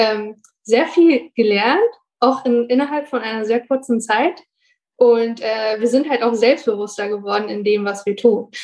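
A woman with a plain, everyday voice, fairly high in pitch, with ordinary pitch variation at a moderate pace. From Bonn, Germany. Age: 20s. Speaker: university student and working student. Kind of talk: casual interview chat.

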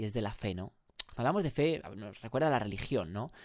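A man with ordinary pitch variation on a very clean recording, the background silent. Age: 20s. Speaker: podcast host. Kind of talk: solo motivational monologue. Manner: animated.

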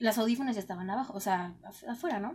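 At a moderate pace, a woman speaks in a fairly high voice with ordinary pitch variation. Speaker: radio host. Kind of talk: casual chat.

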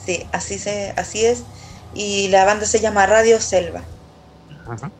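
This is a woman speaking. She has a Chilean accent. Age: 30s. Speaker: singer and songwriter. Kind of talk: casual chat.

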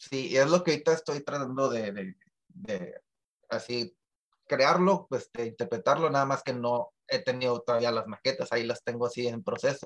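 At a moderate pace and medium pitch, a man talks in an unremarkable speaking voice with ordinary pitch variation. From Tijuana, Mexico. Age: 30s. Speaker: musician. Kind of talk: interview.

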